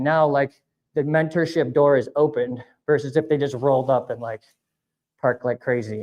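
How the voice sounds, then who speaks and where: A man's plain, everyday voice, fairly high in pitch, at a moderate pace with fairly even intonation. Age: 40s. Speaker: avalanche instructor. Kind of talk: public talk. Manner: casual, filler-heavy.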